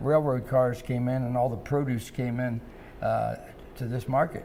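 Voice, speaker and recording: With a Midwestern American accent, a man of medium pitch talks at a moderate pace in a monotone, flat intonation. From US Midwest, Cincinnati, Ohio. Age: 80s+. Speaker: restaurant founder and former boxer. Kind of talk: interview.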